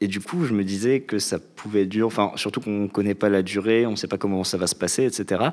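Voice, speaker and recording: A man speaks in a plain, everyday voice at a fairly low pitch. His pace is fairly quick with hardly any pauses, and his intonation is fairly even. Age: 20s. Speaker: civic service volunteer. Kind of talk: casual chat.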